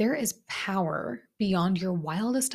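A woman with a medium pitch and lively intonation sounds somewhat breathy on a very clean recording with a silent background. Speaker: self-mastery coach and podcast host. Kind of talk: solo podcast monologue. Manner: animated.

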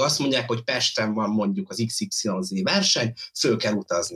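With his pitch swinging very widely, a man talks at a moderate pace in a somewhat breathy voice. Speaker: viewer joining remotely. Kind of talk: casual debate. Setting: remote connection.

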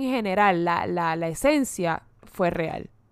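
Her pitch swings very widely as the woman talks in an animated tone, on a very clean recording with a silent background. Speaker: podcast co-host. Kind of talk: casual chat.

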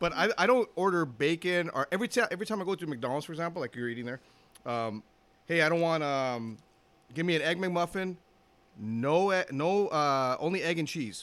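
With a Los Angeles accent, a high-pitched man talks at a fairly quick pace. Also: lively intonation. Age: 50s. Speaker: retired police officer. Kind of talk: casual chat.

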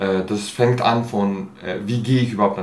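A man with a fairly low pitch speaks at a moderate pace, with audible room echo. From Switzerland, Basel (from age 11 to 23). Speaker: actor and theatre artist. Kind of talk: interview. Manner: hesitant, many fillers.

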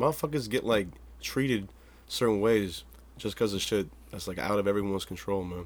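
A man talks at a fairly quick pace and fairly low pitch, with ordinary pitch variation. His long, frequent pauses sit in a very clean recording with a silent background. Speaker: podcast host. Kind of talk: casual chat. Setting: home studio. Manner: animated.

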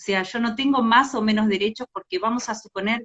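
A woman speaks with a Rioplatense accent. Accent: Argentine Spanish (rioplatense). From Argentina, Entre Ríos. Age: 40s. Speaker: LGBT rights activist. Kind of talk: livestream interview.

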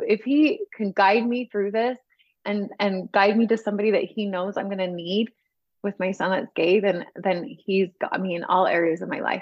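A woman with an American accent and a normal speaking voice, medium in pitch, with ordinary pitch variation and a moderate pace. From US West, northern Utah. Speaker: home organizing coach. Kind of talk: interview testimony.

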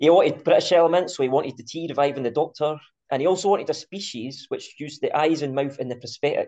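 In a Scottish accent, a man with a fairly high pitch and a dark, mellow tone speaks at a very fast pace. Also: ordinary pitch variation, big swings in loudness. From Scotland. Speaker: podcast host. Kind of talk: casual chat.

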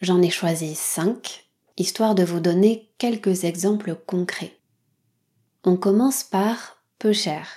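Over a very clean recording with a silent background, a woman speaks very slowly in a dark, mellow tone, with ordinary pitch variation and long, frequent pauses. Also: medium pitch for a woman. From French Basque Country. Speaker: podcast host for French learners. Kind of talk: educational monologue for language learners. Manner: clear, measured pace for learners.

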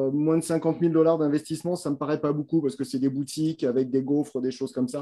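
A man talks at a fairly quick pace. His pitch is fairly high, and his tone is dark and mellow. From France. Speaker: business broker. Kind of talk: expert advice in live Q&A.

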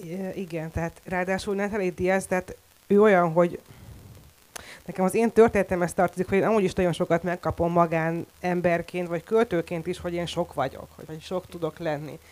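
A woman talks at a fairly quick pace, her pitch fairly low. It is a normal speaking voice with fairly even intonation. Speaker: poet and translator. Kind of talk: panel discussion. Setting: stage with audience.

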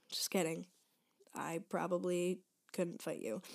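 Heard on a very clean recording with a silent background, the voice has an American accent and vocal fry. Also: woman. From Michigan. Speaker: podcast host, college student. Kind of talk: casual solo chat. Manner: fast, chatty with fillers.

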